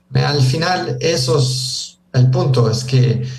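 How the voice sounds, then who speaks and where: His words come out at a very slow pace. The male voice carries an audible room echo. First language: English (speaking Spanish). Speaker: traveler and author. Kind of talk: interview. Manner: halting, many fillers.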